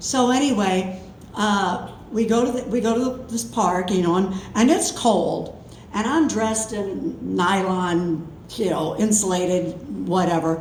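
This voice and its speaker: A woman speaks at medium pitch and a fairly slow pace with lively intonation, over noticeable background noise and audible room echo. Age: 70s. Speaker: storyteller. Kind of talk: live storytelling. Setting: stage with audience. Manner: casual, chatty.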